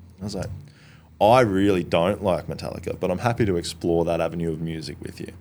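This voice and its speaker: A man talks at a very fast pace with an Australian accent. His pitch is very deep and low, with ordinary variation. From Australia, Brisbane area. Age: 30s. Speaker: outdoor social group founder, former chef. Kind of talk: casual chat.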